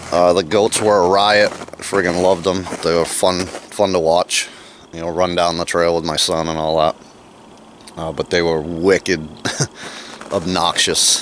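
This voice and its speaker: A man's very deep, low voice in a flat monotone, dry with no echo, over light background noise. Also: fairly slow pace. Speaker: homesteader vlogger. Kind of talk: casual vlog chat. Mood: relaxed, amused. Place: open country. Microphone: phone near.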